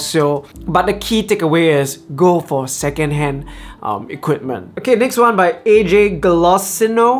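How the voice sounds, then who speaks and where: With music in the background, a man talks at a fairly slow pace in a high pitch, his intonation lively. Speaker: travel vlogger and filmmaker. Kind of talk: Q&A vlog. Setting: outdoors in the rain, then his room.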